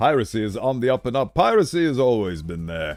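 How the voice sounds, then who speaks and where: Music plays in the background as a man speaks at a moderate pace. His pitch swings very widely. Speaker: vtuber. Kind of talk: casual live-stream talk to chat.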